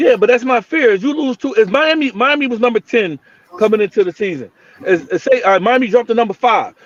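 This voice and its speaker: Loud and animated, a man speaks at an extremely high pitch. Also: dry, close sound with no echo. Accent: New Jersey. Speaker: sports podcast host. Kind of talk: heated debate. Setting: live stream. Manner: loud, animated.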